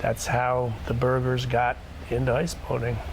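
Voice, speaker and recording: A man talks with an American accent. Noticeable background noise and audible room echo surround him. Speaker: ice boat owner. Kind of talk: documentary interview.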